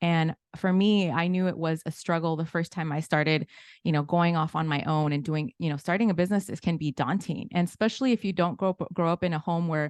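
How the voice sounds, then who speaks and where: In a Spanish accent, a woman with fairly low pitch speaks at a very fast pace. The sound is dry and close with no echo, over a quiet background. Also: ordinary pitch variation. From Inglewood, California. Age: 40s. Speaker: financial literacy educator. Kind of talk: webinar presentation.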